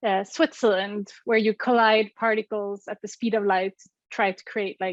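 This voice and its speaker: Fairly even intonation at a moderate pace in a Swedish accent, with big swings in loudness and a dry, close sound with no echo. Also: woman, medium pitch for a woman. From Sweden. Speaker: physicist and app co-founder. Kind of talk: interview. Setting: remote call.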